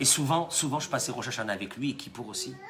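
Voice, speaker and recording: Amid noticeable background noise and audible room echo, a man speaks at a fairly quick pace in an animated tone at a medium pitch. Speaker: rabbi. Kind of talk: sermon.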